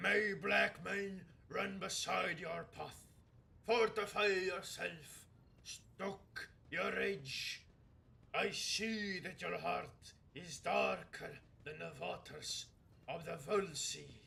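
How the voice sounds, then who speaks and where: Using a put-on character voice pitched high, a man speaks very slowly with long, frequent pauses. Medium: virtual streamer. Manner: solemn, archaic.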